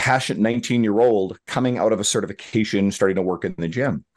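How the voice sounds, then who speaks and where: A plain, everyday voice from a man, medium in pitch with ordinary pitch variation, at a fairly quick pace against a quiet background. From Newfoundland, eastern Canada. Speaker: fitness coach. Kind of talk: interview.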